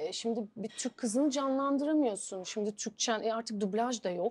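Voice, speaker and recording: Her pitch sits fairly high and varies an ordinary amount as the woman speaks at a moderate pace. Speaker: actress; actress interviewee. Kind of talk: interview. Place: home room.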